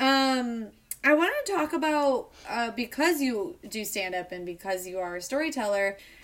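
A woman's fairly high voice in a Chicago accent. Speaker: podcast host and theater co-founder. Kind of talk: casual interview.

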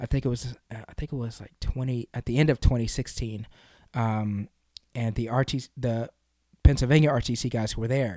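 A man with an American accent speaks at a moderate pace and medium pitch, his dark, mellow tone carrying fairly even intonation and big swings in loudness, on a very clean recording with a silent background and a dry, close sound with no echo. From US South, Kentucky. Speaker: wrestler and youth sports coach. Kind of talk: interview. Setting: studio.

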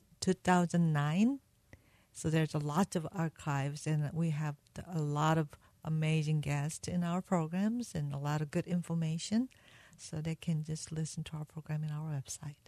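In a Korean accent, a woman speaks with a very deep, low, dark and mellow voice, somewhat breathy and fairly even in intonation, recorded dry and close with no echo against a quiet background. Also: moderate pace. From South Korea. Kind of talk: interview testimony. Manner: halting.

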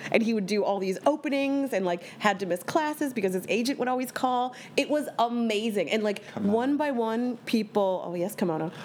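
Against noticeable background noise, a woman with an American accent speaks at a fairly high pitch with ordinary pitch variation. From Bucks County, Pennsylvania. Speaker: cabaret singer. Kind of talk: casual chat.

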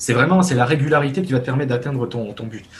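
A man's plain, everyday voice, medium in pitch, with lively intonation. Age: 20s. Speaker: web developer. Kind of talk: casual interview.

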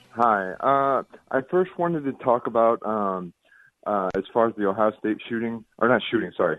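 A man with an ordinary speaking voice and an American accent talks at a moderate pace and medium pitch with lively intonation, in a dry, close sound with no echo. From Indiana. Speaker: caller. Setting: phone call.

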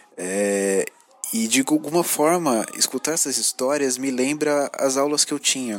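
The man has a fairly high voice with ordinary pitch variation. He talks at a fairly slow pace. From São Paulo, Brazil. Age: 30s. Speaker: podcast listener. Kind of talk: recorded voice message. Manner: halting, many fillers.

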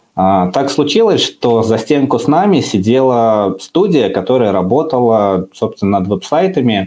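This man's dark, mellow voice moves with lively intonation. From Uzbekistan. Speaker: software development manager. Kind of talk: podcast interview. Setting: video stream.

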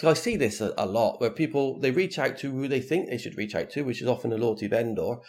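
An ordinary speaking voice from a man, fairly high in pitch, with lively intonation. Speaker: loyalty consultant. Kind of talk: panel discussion on loyalty programs. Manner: casual, conversational.

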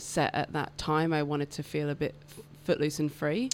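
Recorded very cleanly against a silent background, a woman speaks with a British accent. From England. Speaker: electrician and portrait artist. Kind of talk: casual interview chat. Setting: radio studio.

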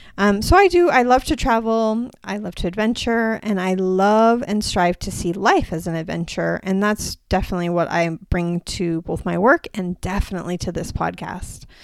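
With a normal speaking voice at a medium pitch, a woman talks at a moderate pace with hardly any pauses and ordinary pitch variation, on a very clean recording with a silent background. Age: 40s. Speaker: podcast host, women's health practitioner. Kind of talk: solo podcast monologue. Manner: casual, with fillers.

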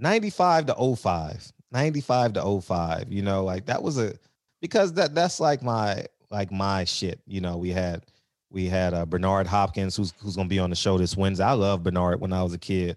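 A man with a plain, everyday voice and an American accent speaks at a fairly low pitch and a fairly quick pace against a quiet background. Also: ordinary pitch variation. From South Central Los Angeles. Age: 40s. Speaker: real estate investor. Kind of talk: casual chat.

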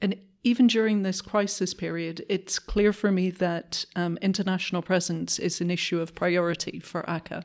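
In a very clean recording with a silent background, a woman speaks in a normal speaking voice at medium pitch and a moderate pace. Her intonation is fairly even, and she hardly pauses at all. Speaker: policy advisor. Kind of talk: interview.

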